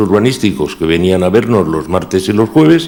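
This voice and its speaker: A man's voice with audible room echo around it. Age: 60s. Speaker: former municipal chief architect. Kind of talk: testimony at a council inquiry. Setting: council committee hearing.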